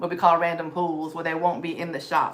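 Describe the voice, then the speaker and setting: Audible room echo surrounds a woman whose fairly low voice carries a Southern US accent. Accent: Southern US (Georgia). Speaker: thrift reseller livestreamer. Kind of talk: live stream haul chat. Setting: live stream. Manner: fast.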